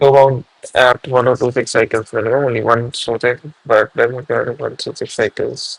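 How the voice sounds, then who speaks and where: A man mumbles at a moderate pace with a medium pitch. The sound is dry and close, with no echo. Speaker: programming streamer. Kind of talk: live coding stream commentary. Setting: live stream. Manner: mumbling.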